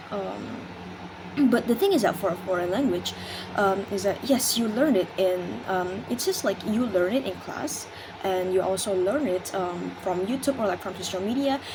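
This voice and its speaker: With an Indonesian accent, a woman speaks at a moderate pace and medium pitch, with ordinary pitch variation and noticeable background noise. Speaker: university student. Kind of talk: class presentation. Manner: halting, many fillers.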